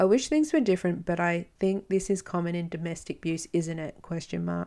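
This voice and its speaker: A woman's fairly low voice with an Australian accent, at a fairly quick pace with ordinary pitch variation, on a very clean recording with a silent background. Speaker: podcast host, domestic abuse survivor. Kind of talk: solo podcast monologue. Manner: casual, chatty.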